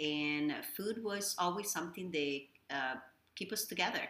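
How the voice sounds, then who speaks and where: A woman talks at a moderate pace with a Spanish accent. Her pitch shows ordinary variation. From Dominican Republic. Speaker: executive chef. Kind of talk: casual interview.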